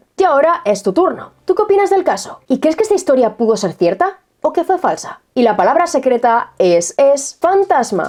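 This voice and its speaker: Speaking at a moderate pace with hardly any pauses, a woman keeps very even loudness while her high voice makes very wide pitch swings. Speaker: true crime and mystery YouTuber. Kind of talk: casual video monologue to viewers.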